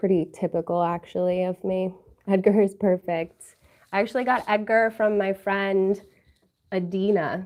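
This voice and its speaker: The background stays quiet while a woman talks with fairly even intonation. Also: medium pitch for a woman, moderate pace. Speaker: YouTuber. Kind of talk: livestream chat with viewers.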